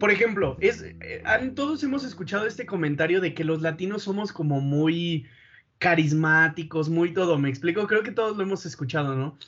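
This man has a high pitch, lively intonation and a moderate pace. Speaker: engineering student, podcast host. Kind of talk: casual chat.

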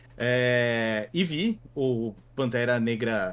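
A man speaks at a medium pitch with ordinary variation. He has a normal speaking voice. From Brazil, Santos (São Paulo state). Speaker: games and pop culture journalist. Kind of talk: casual discussion.

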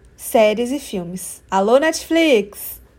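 The woman's voice is high-pitched. She sounds animated. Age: 20s. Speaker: podcast host. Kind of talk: scripted monologue.

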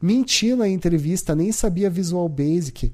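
This man's dark, mellow tone comes with ordinary pitch variation. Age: 30s. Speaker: podcast host. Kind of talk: personal monologue podcast. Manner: casual, hesitant with repetitions.

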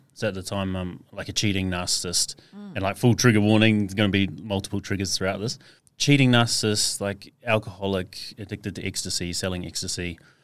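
This very clean recording has a silent background. The man speaking has an Australian accent. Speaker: mental health speaker for mining workers. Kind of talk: casual interview chat. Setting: podcast studio.

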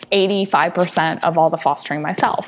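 In an American accent, a woman talks at a fairly quick pace with ordinary pitch variation over noticeable background noise. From US Midwest. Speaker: rescue founder. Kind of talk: casual interview chat.

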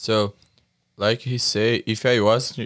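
A man with a Brazilian accent speaks in a monotone, flat intonation, recorded dry and close with no echo over a very clean, silent background. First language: Portuguese. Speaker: jiu-jitsu athlete. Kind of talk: casual chat. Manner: halting.

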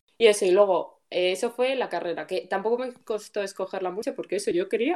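Talking very fast, a woman keeps her voice at a medium pitch. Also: hardly any pauses. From Spain, Guadalajara. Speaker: podcast co-host, programmer. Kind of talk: casual chat.

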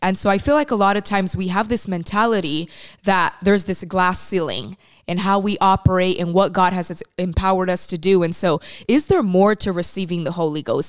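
A woman talks fairly quickly at a medium pitch in a plain, everyday voice. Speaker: co-host. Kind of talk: interview about faith, conversational.

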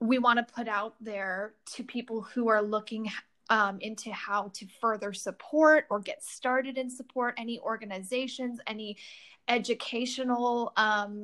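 With a normal speaking voice, a woman in an American accent speaks at a fairly slow pace and fairly high pitch with fairly even intonation, on a very clean recording with a silent background. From Southern California, near Los Angeles. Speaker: podcast co-host. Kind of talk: casual conversation.

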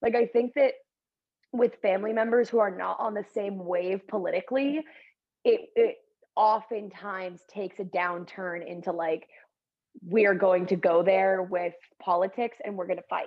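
Ordinary pitch variation and a moderate pace in an ordinary speaking voice. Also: woman, medium pitch for a woman. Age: 20s. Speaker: podcast co-host. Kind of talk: casual chat.

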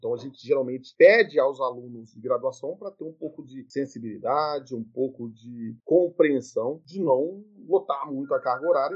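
An ordinary speaking voice from a man, fairly high in pitch with ordinary pitch variation, moderate pace, big swings in loudness and hardly any pauses. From Brazil, Minas Gerais. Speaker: university professor. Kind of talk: interview.

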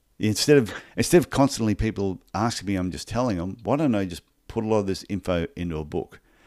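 Against a silent background in a very clean recording, a man talks at a very fast pace with fairly low pitch and ordinary pitch variation. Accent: Australian. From Australia (Brisbane, Queensland). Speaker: podiatrist and business coach. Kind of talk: interview.

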